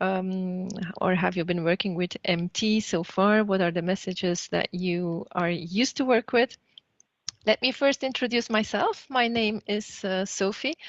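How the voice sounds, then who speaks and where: A woman talks at a fairly slow pace with a Flemish accent. Her pitch is medium, with ordinary variation. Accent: Flemish Dutch-accented English. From Flanders, Belgium. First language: Dutch. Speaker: trainer. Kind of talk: online training session.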